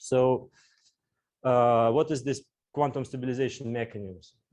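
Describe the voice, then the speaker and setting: The speaker is a man with a medium pitch. His pace is moderate. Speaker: physicist. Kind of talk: lecture. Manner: halting, many fillers.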